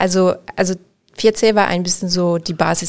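This is a woman speaking. Her pitch is fairly low. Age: 30s. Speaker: interior architect. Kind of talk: interview. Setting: studio.

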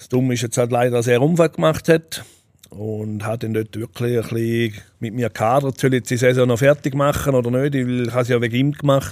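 The speaker has a normal speaking voice and a fairly quick pace. Loudness swings widely. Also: man, medium pitch for a man, fairly even intonation. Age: 40s. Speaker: Swiss wrestler. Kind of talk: interview.

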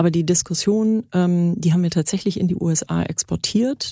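The voice is somewhat breathy, with a dark, mellow tone, at a moderate pace. It sounds dry and close, with no echo. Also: woman. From Germany. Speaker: startup founder, former media executive. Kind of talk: interview.

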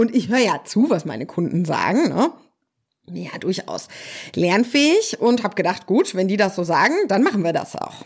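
A woman's somewhat breathy voice at a medium pitch, with very wide pitch swings. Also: moderate pace. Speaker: social worker and parenting coach. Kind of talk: solo podcast monologue.

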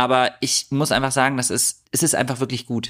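The speaker is a man. He keeps a moderate pace. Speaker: podcast co-host. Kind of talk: casual banter podcast chat. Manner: chatty; critical.

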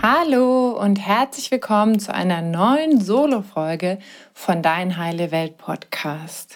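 A woman with a gentle, warm tone speaks very slowly at a medium pitch, her voice moving in very wide pitch swings. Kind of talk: guided meditation. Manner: slow, soothing and calm, with long pauses; gentle, warm and reassuring.

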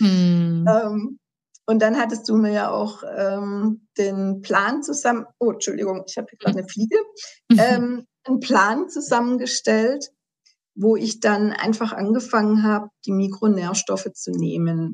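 A woman speaks very slowly in a fairly high pitch. Her voice is somewhat breathy. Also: big swings in loudness. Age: 50s. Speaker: patient sharing her health story. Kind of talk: interview testimony.

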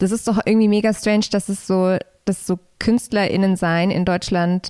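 In a very clean recording with a silent background, a woman speaks at a moderate pace in a monotone, flat intonation, the sound dry and close with no echo. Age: 20s. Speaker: musician. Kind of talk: casual chat.

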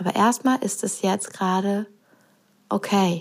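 A woman's medium-pitched voice with fairly even intonation at a moderate pace. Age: 30s. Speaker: podcast host and business coach. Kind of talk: solo podcast monologue. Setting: living room at home.

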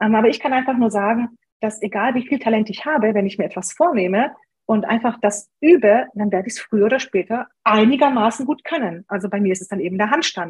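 A woman talks at a very fast pace with ordinary pitch variation. Her voice is somewhat breathy. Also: fairly high pitch for a woman. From Germany, came from Romania aged six. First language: Hungarian (speaking German). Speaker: online business blogger and copywriter. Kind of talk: interview.

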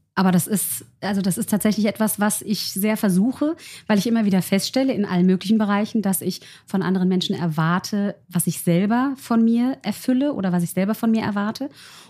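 The voice has a dark, mellow tone, somewhat breathy, moving at a fairly quick pace with ordinary pitch variation and very even loudness. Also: woman, medium pitch for a woman. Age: 40s. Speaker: make-up artist. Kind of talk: conversational interview.

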